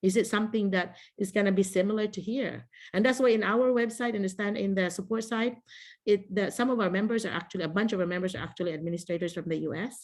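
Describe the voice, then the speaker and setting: At a very fast pace, a woman speaks at a medium pitch with ordinary pitch variation. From Philippines. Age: 50s. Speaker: teacher trainer. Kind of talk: online workshop. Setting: video call.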